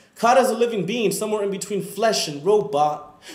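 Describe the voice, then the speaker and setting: A man speaks at a high pitch and a moderate pace. His intonation is lively. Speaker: student. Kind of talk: spoken word performance.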